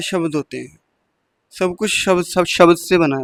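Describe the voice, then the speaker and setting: Speaking at a moderate pace with a non-native accent, the voice shows ordinary pitch variation. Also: man. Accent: non-native Hindi. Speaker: spiritual speaker. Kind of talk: spiritual talk.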